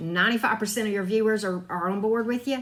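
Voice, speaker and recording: Fairly high pitch and a bright, sharp tone from a woman with a Southern US accent. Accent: Southern drawl. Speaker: tarot reader and spiritual YouTuber. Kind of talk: casual advice talk. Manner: conversational, frequent fillers.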